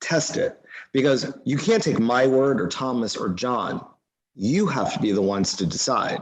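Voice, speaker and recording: A man has an unremarkable speaking voice with a medium pitch. He goes at a fairly slow pace. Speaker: mindfulness class leader. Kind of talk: live online class.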